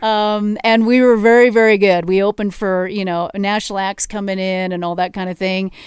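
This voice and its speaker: In a very clean recording with a silent background, a woman with a normal speaking voice and medium pitch talks at a fairly quick pace. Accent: General American. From Colorado, Denver area (Arvada). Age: 50s. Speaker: drummer and singer. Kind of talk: casual interview. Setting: studio.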